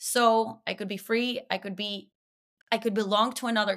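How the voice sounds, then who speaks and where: With a Spanish accent, a woman speaks in a bright, sharp tone at a fairly high pitch, her intonation fairly even, on a very clean recording with a silent background. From Venezuela. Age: 30s. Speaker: comedian and podcaster. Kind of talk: casual chat.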